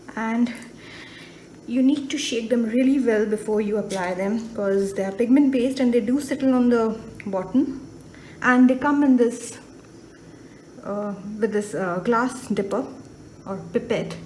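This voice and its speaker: Slowed to a fairly slow pace by long, frequent pauses, a woman with a fairly high pitch and ordinary pitch variation speaks amid audible room echo. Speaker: watercolor artist. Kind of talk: tutorial. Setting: voiceover. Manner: casual.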